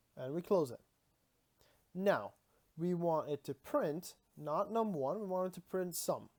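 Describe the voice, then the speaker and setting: Spoken at a fairly slow pace with a non-native accent, the speech has long, frequent pauses. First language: not English. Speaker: streamer teaching programming. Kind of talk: live-streamed coding tutorial. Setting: live stream. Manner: casual, hesitant with many fillers.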